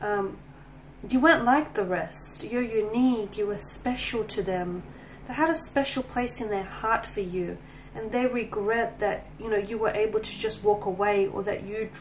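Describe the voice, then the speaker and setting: Against light background noise, a woman talks at a moderate pace with ordinary pitch variation. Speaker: tarot reader. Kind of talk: tarot reading commentary.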